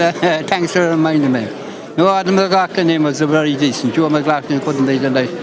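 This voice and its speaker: With a northwest Irish accent, a man speaks at a very fast pace and fairly high pitch, with audible room echo and noticeable background noise. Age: 80s+. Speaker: local political enthusiast. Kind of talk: live interview.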